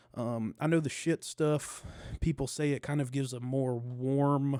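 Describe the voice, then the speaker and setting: Medium pitch and a dark, mellow tone from a man. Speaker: podcaster. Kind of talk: casual chat. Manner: fast.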